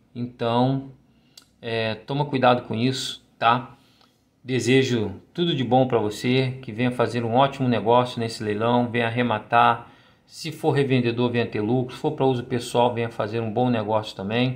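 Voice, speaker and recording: A man's flat, monotone delivery at a medium pitch. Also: moderate pace. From Brazil. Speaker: YouTube channel host reviewing auction lots. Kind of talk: casual tutorial narration. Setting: screen-share narration of auction site. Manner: breathless, running items together without pauses, repeating words. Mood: warm, religious farewell. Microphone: phone near.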